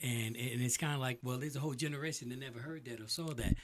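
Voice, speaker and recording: Somewhat breathy, a man speaks with lively intonation on a very clean recording with a silent background. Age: 60s. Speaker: DJ and podcast host. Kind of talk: casual interview chat. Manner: halting with repeated words.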